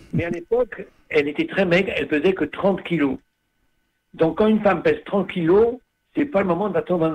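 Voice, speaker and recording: A man's high voice moves at a moderate pace, his intonation lively. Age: 80s+. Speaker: priest, community founder. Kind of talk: radio interview.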